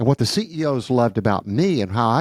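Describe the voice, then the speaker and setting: A man with an unremarkable speaking voice talks fairly quickly at a medium pitch, his intonation lively. The recording is very clean with a silent background and a dry, close sound with no echo. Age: 60s. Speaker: church consultant, former accountant. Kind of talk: podcast conversation.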